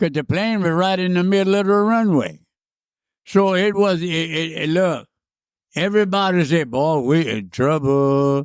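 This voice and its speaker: Using a Cajun accent, a man talks at a fairly slow pace in a high pitch. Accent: Cajun Louisiana English. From Southwest Louisiana. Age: 90s. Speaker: war veteran, former freight train hobo. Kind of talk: interview answer, storytelling.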